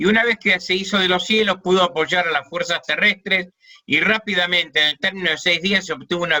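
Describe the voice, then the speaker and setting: A man speaks in a high pitch. His voice shows ordinary pitch variation. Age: 70s. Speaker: war veteran. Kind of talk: testimony. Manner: halting.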